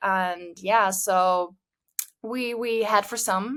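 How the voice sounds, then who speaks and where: A woman's medium-pitched voice, fairly even in intonation, proceeds at a very slow pace. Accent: German. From Germany. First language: German. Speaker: social media marketing manager. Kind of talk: podcast interview. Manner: hesitant, many fillers.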